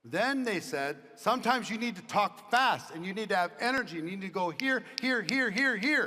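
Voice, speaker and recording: Raised and projected, a man's high-pitched voice moves at a moderate pace with lively intonation and hardly any pauses. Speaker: motivational speaker, business leader. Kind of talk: motivational talk with audience Q&A.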